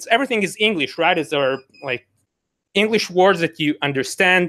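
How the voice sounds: With ordinary pitch variation, a man speaks in a high voice with a fairly bright tone.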